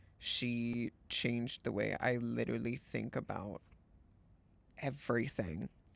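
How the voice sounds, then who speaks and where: Speaking in an unremarkable speaking voice, a man talks fairly slowly at a medium pitch with ordinary pitch variation, the sound dry and close with no echo. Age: 20s. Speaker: streamer. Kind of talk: casual chat.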